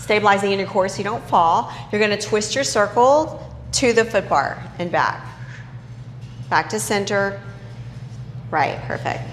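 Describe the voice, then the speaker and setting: A woman's fairly slow speech in a Texas accent, with very wide pitch swings, long, frequent pauses, and noticeable background noise. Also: medium pitch for a woman. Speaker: Pilates instructor. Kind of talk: fitness class instruction.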